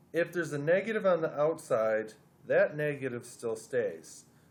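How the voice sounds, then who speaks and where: This man has a normal speaking voice. He talks at a moderate pace with lively intonation. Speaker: math teacher. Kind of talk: tutorial.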